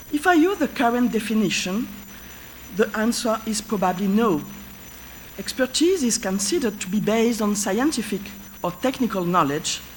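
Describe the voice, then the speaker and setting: With a French accent and a fairly high pitch, a woman speaks at a moderate pace with lively intonation and long, frequent pauses over noticeable background noise. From France. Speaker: professor of history of medicine. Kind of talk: lecture. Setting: conference stage with audience. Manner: halting.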